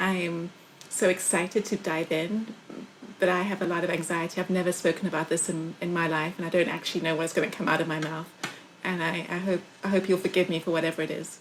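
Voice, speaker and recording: A woman with a fairly low pitch talks at a very fast pace. Her intonation is monotone and flat over noticeable background noise. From South Africa. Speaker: podcast co-host. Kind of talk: casual chat.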